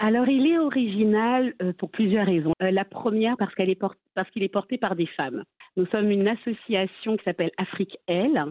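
The speaker has an unremarkable speaking voice and lively intonation. The pace is moderate. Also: woman, medium pitch for a woman. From Strasbourg, Alsace, France. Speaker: association vice-president. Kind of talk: interview. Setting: remote link from Strasbourg.

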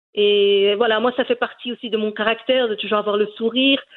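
Her pitch is fairly high, and this woman moves at a moderate pace. Her intonation is monotone and flat. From Brussels, Belgium, Moroccan parents. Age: 40s. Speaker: cooking YouTuber. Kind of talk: interview. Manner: halting, many repetitions and fillers.

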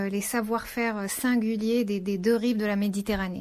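Heard in a very clean recording with a silent background, a woman has a plain, everyday voice, a fairly high pitch and fairly even intonation. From Morocco. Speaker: entrepreneur. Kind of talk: interview.

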